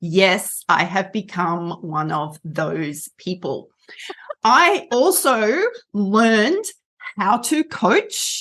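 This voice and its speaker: Lively intonation at a very slow pace, in an Australian accent. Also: woman, medium pitch for a woman. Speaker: rehabilitation counsellor and coach. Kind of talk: interview.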